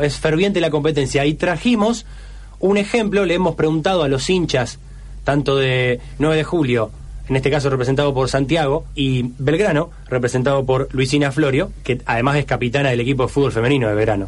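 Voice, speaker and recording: With an Argentine accent, a man speaks at a fairly high pitch with ordinary pitch variation and very even loudness over noticeable background noise. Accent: Rioplatense Argentine Spanish. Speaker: radio host. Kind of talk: casual chat.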